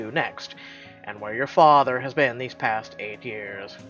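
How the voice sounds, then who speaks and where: A man's put-on character voice with clear music in the background. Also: medium pitch for a man, fairly slow pace, big swings in loudness. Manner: dark, protective, secretive.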